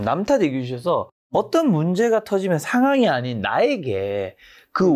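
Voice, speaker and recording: The speech has very wide pitch swings at a moderate pace. The recording is very clean, with a silent background. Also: man. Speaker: YouTube interviewer. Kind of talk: interview question.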